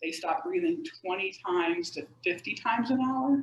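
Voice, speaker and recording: Her pitch makes very wide swings. This woman keeps a moderate pace. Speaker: sleep medicine expert. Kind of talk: educational talk. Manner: animated.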